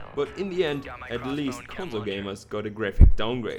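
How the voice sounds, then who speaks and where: A man talks fairly quickly in a medium pitch with a German accent and lively intonation. There is noticeable background noise. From Germany. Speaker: gaming YouTuber. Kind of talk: video game preview narration. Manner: casual, jokey.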